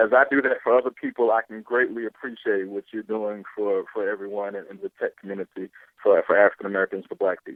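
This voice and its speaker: This man talks at a fairly quick pace and medium pitch, with a slight Southern US accent and monotone, flat intonation. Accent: slight Southern country. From US South, Pensacola, Florida. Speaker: entrepreneur. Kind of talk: podcast interview.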